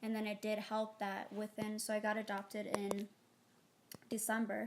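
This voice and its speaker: Over noticeable background noise, a woman with an Ethiopian accent speaks at a moderate pace in a fairly high pitch, her intonation monotone and flat and her loudness very even. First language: Amharic. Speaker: interviewee, adoptee. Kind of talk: casual interview. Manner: hesitant, many fillers.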